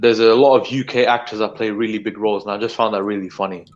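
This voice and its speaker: In a British accent, a man with a fairly low pitch talks at a very fast pace. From United Kingdom. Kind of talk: casual chat. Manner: halting.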